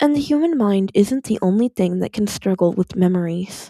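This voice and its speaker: Quiet and calm in tone, a woman speaks with a dark, mellow voice on a very clean recording with a silent background. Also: dry, close sound with no echo. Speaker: podfic reader. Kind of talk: fan fiction reading. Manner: quiet, calm.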